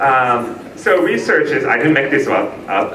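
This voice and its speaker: A man talking at a fairly slow pace, with audible room echo and noticeable background noise. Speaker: language teacher, keynote speaker. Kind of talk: keynote speech. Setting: conference stage with audience.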